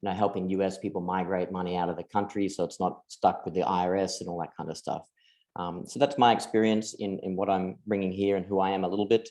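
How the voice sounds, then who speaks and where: A man with an Australian accent, very deep and low in pitch, with a dark, mellow tone, fairly even intonation, and a very fast pace against a quiet background. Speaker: crypto investment firm partner. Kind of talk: webinar presentation.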